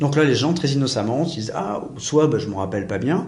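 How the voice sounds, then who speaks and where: With audible room echo, the speaker sounds somewhat breathy, talking at a fairly quick pace with ordinary pitch variation. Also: man. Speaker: private investigator and teacher. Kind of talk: interview. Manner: fast; assertive.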